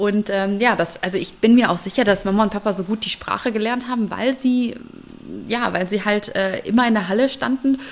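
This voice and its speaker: The woman's pitch is fairly high. Noticeable background noise accompanies her. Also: fairly even intonation, fairly quick pace. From Germany. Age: 30s. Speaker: engineer and conference organiser. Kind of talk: interview.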